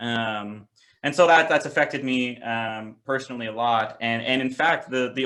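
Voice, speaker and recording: With a Pacific Northwest accent and a bright, sharp tone, the speaker goes at a moderate pace with ordinary pitch variation on a very clean recording with a silent background. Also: man. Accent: American, Pacific Northwest. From US, Seattle. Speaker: president of a youth political organization. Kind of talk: interview. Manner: hesitant, many fillers and restarts.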